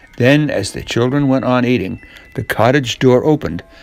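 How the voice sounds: Fairly even intonation in a natural reading voice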